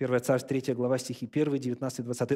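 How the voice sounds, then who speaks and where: A man's dark, mellow tone in a very clean recording with a silent background. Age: 40s. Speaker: pastor. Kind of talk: sermon.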